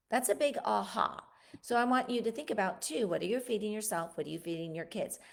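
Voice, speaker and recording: A woman talks at a fairly quick pace. Her tone is animated and her intonation lively. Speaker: podcast host. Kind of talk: casual monologue on health. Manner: animated, halting with self-corrections.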